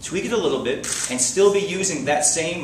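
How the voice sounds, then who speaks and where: Speaking very fast with an American accent, a man is heard amid noticeable background noise and audible room echo. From South Florida. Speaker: mayoral candidate. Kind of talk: political debate.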